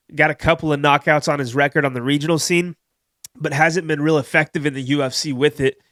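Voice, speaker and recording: A man's fairly high, flat, monotone voice at a very fast pace, in a very clean recording with a silent background. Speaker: MMA betting YouTuber. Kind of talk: casual sports betting picks show. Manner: casual, filler-heavy.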